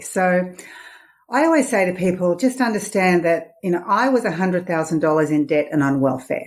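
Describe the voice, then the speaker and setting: Speaking at a moderate pace, a woman with an Australian accent has a fairly low pitch. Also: very even loudness. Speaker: money mindset coach and author. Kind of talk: interview. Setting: podcast interview.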